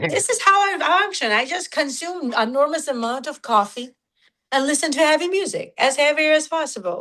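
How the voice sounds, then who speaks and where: In a raised, projected voice, a woman speaks at a moderate pace, high-pitched with very wide pitch swings and a bright, sharp tone. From Georgia (country), raised in Russia. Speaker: nu-metal musician. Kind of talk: casual interview. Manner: halting, filler-heavy.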